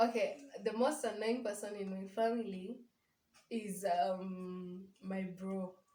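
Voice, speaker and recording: A woman speaks very slowly in a Kenyan accent, her medium-pitched voice dark, mellow and somewhat breathy. Her intonation stays fairly even, and the room echo is audible. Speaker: vlogger's sister. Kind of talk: casual chat.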